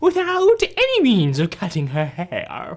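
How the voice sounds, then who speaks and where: Fairly slow delivery in a put-on character voice. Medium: comedy sketch. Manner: evasive, self-contradicting.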